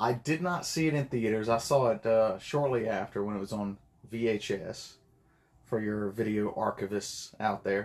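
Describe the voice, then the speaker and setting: Here is a man with an unremarkable speaking voice, medium in pitch with ordinary pitch variation. He talks at a moderate pace against a quiet background. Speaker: podcast guest. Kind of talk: casual chat.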